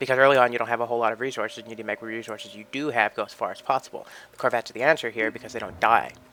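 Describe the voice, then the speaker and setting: Talking at a very fast pace with hardly any pauses, a man delivers a bright, sharp tone in a monotone, flat intonation, with big swings in loudness. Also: medium pitch for a man. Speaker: gaming video creator. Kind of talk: game walkthrough commentary. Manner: casual, rambling.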